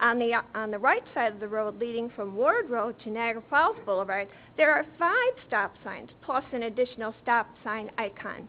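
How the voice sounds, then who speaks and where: Using an ordinary speaking voice, a woman talks at a moderate pace with hardly any pauses. Her pitch is fairly high with ordinary variation, and her loudness swings widely. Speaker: concerned resident speaking at town board. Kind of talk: public comment at town meeting. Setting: town board meeting room.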